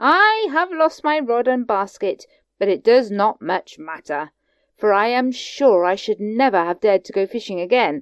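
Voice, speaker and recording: In a put-on character voice, a woman speaks at a moderate pace with a fairly high pitch, on a very clean recording with a silent background. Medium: read story. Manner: prim, polite.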